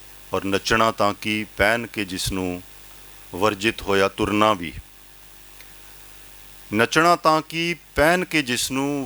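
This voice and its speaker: A man's bright, sharp tone sits at a fairly low pitch, his intonation lively, in a dry, close recording with no echo. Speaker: poet, professor. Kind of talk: poetry reading.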